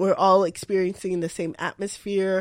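In a very clean recording with a silent background, a woman with a normal speaking voice and medium pitch talks at a moderate pace. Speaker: podcast co-host. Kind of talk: casual chat.

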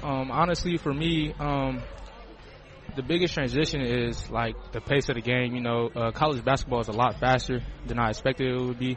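A man with an American accent and medium pitch talks at a fairly quick pace with fairly even intonation over noticeable background noise. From Sandusky, Ohio. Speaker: college basketball player. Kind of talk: casual halftime interview. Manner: polite, short answers, laughs.

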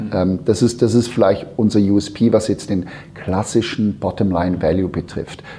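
A somewhat breathy man with a fairly low pitch speaks at a moderate pace, his intonation fairly even. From Switzerland. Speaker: founder of an innovation consultancy. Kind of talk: interview. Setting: in person at his company office. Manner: halting, many fillers and repetitions.

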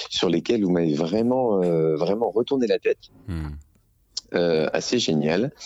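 A man's fairly low voice at a very slow pace, in a dry, close sound with no echo and noticeable background noise. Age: 40s. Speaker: teacher, listener caller. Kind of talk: casual chat.

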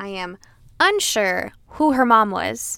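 Bright and sharp in tone, the voice sounds animated and has lively intonation. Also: woman. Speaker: podcast co-host. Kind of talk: casual chat.

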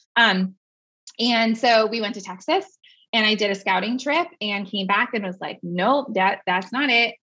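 A woman's fairly high, bright, sharp voice in an American accent, at a moderate pace with ordinary pitch variation. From US West Coast, San Francisco Bay Area. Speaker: social media marketing business owner. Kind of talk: casual interview.

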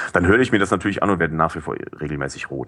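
This man talks at a very fast pace with vocal fry in his voice. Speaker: podcast curator and newspaper employee. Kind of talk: casual chat. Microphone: cheap headset with high noise.

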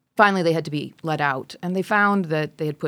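A woman's plain, everyday voice with an American accent, at a fairly quick pace, on a very clean recording with a silent background. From rural Wisconsin, US Midwest. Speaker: geology professor. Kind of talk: interview.

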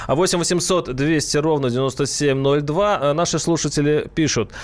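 A man's voice, fairly high in pitch. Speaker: radio host. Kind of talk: radio talk show. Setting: studio.

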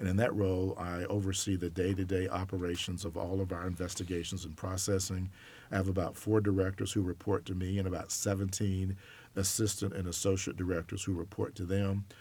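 A man with an American accent speaks at a fairly quick pace in a very deep, low pitch. His dark, mellow tone is somewhat breathy, with monotone, flat intonation. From US South, Alabama. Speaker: college sports enforcement director. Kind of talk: interview.

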